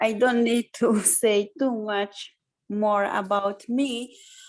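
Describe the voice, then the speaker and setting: A woman talks very slowly, and her pitch shifts in an ordinary way. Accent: Hungarian. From Hungary. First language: Hungarian. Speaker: lecturer, Romani education specialist. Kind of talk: lecture.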